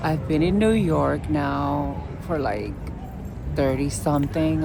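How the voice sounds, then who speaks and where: With a strong Puerto Rican accent, a woman speaks amid noticeable background noise and audible room echo. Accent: heavy Puerto Rican. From Puerto Rico. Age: 50s. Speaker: witch vlogger. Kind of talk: casual vlog monologue. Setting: outdoors in a city park. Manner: halting.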